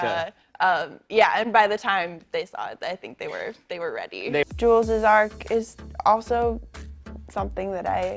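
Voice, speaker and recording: A woman speaks at a moderate pace with big swings in loudness. Music plays in the background. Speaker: actress in a TV drama. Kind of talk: casual interview answer. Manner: casual, reflective, conversational with fillers.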